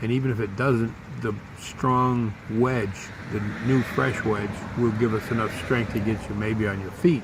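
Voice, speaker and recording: Amid noticeable background noise and audible room echo, a man of medium pitch speaks fairly slowly with fairly even intonation. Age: 60s. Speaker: vlogger. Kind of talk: personal storytelling.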